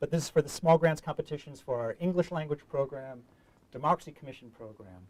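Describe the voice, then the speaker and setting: A man's dark, mellow tone at a very fast pace, in a New York accent with fairly even intonation. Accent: New York American. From US Northeast, New York City. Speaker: diplomat, public affairs officer. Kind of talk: online information session presentation. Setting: studio, online call. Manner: hesitant, many filler words.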